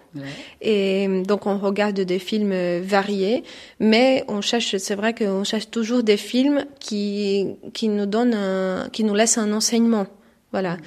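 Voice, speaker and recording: A woman with a Portuguese accent, medium pitch, very slow pace and fairly even intonation. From Brazil. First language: Portuguese (speaking French). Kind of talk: radio interview. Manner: halting.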